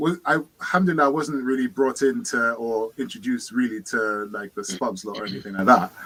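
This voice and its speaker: In a London accent, a man speaks at medium pitch and a fairly quick pace, with hardly any pauses. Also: lively intonation. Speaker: participant in online discussion group. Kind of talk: casual group discussion.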